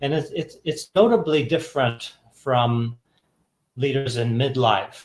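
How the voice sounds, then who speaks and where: A man with an American accent speaks at a moderate pace in a somewhat breathy voice. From Texas. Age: 50s. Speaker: executive coach and author. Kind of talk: podcast interview.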